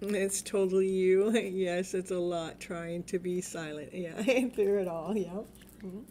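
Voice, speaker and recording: A woman at a medium pitch speaks at a fairly slow pace in a monotone, flat intonation. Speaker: tarot reader. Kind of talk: live stream tarot reading. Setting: home live stream at night. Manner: loud; lowered voice.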